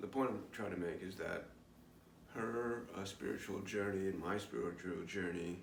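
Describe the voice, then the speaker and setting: With an American accent, a man with a very deep, low voice talks at a moderate pace with ordinary pitch variation, amid audible room echo and noticeable background noise. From New York. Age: 50s. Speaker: spiritual vlogger. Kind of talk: personal video diary. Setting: recorded alone on camera. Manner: halting, many fillers.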